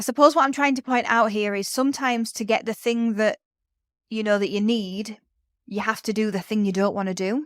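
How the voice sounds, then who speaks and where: In a northern English accent, a woman speaks at a fairly quick pace and medium pitch with fairly even intonation, the sound dry and close with no echo on a very clean recording with a silent background. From northern England. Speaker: podcast host, education business mentor. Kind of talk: solo podcast talk.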